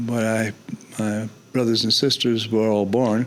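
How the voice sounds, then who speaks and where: A man with a fairly low pitch speaks at a moderate pace in a monotone, flat voice over noticeable background noise. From New York City, South Bronx. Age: 80s+. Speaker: photojournalist. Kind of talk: interview conversation. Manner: halting.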